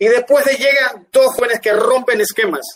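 Dry, close sound with no echo, a male voice at a moderate pace. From Panama, Guna Yala (Ustupu). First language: Guna (speaking Spanish). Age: 50s. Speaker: dance artist. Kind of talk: interview. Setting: livestream.

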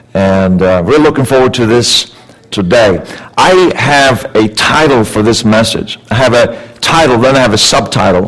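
Lively intonation comes through at a moderate pace with very even loudness, amid noticeable background noise and audible room echo. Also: man, medium pitch for a man. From Sweden. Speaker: guest speaker, life coach. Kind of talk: sermon. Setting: church with congregation. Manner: animated.

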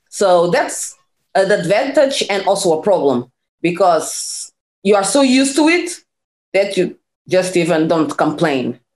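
With a Portuguese accent, a woman speaks fairly slowly at medium pitch, her pitch swinging very widely while her loudness stays very even. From Portugal. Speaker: PhD scientist and former nurse. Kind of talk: interview conversation. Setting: video call.

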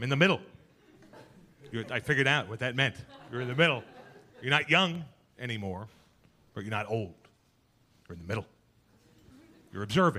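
A man with a New York accent and a medium pitch talks at a very fast pace, with lively intonation, big swings in loudness, and long, frequent pauses. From Queens, New York. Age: middle-aged. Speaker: comedian. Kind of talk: stand-up. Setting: stage with audience.

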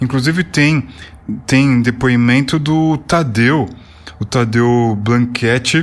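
Noticeable background noise sits under talking whose intonation stays fairly even. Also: man. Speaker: podcast host. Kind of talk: casual interview. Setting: online call recorded on Discord.

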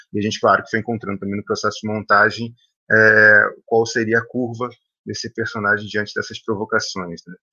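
Monotone, flat delivery from a man at a fairly low pitch, fairly quick, with big swings in loudness. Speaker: film director. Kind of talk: panel discussion. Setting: video call.

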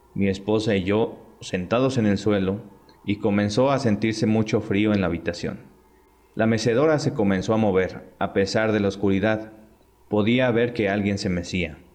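Speaking at a moderate pace in a Mexican accent, a man with a fairly low voice keeps his loudness very even and his intonation fairly even. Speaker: podcast host. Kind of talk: reading aloud.

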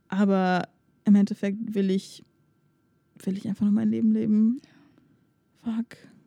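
In a dry, close sound with no echo, a woman speaks at a fairly slow pace with monotone, flat intonation and long, frequent pauses, her tone dark, mellow and somewhat breathy. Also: medium pitch for a woman. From Germany. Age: 20s. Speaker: podcast co-host. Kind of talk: casual chat.

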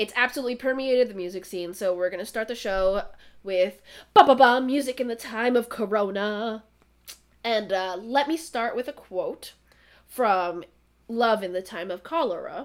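This is a normal speaking voice at a moderate pace with ordinary pitch variation. Its loudness swings widely. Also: woman, fairly high pitch for a woman. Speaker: podcast host. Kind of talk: casual chat. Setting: remote recording.

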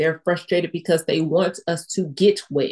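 In an ordinary speaking voice, a woman talks at a moderate pace with a fairly low pitch. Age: young. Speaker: stroke survivor podcast host. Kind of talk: casual chat. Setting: video call.

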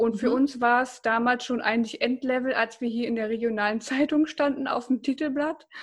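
With a high pitch and hardly any pauses, a woman talks at a fairly quick pace. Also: fairly even intonation. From Germany, Bocholt (Münsterland). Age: 20s. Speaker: startup founder. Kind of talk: casual interview.

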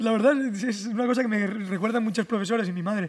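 The man's high-pitched voice races along at a very fast pace, showing ordinary pitch variation. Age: 20s. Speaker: content creator and mechanic. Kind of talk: casual chat. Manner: exaggerated dubbing-style delivery.

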